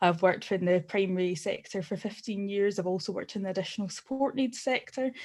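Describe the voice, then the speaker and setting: Fairly quick speech in a Glasgow accent, with a quiet background. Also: woman. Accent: Scottish (Glasgow area). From Scotland, Glasgow area. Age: 30s. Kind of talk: personal testimony at online forum. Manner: halting, many fillers.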